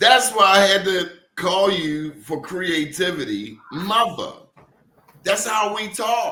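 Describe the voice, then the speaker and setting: A man with an American accent, high-pitched, his voice raised and projected, at a very slow pace. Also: ordinary pitch variation. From Baltimore, Maryland. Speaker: podcast host. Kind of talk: podcast interview.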